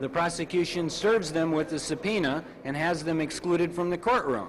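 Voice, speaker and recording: Against noticeable background noise, a man speaks at a moderate pace with a fairly high pitch and ordinary pitch variation. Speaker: defense attorney. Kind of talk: interview answer.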